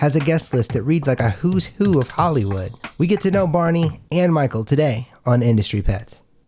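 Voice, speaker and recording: This man's somewhat breathy voice has a dark, mellow tone and a fairly high pitch. Its pitch swings very widely while its loudness stays very even. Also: moderate pace. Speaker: talk show host. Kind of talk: talk show host intro and questions.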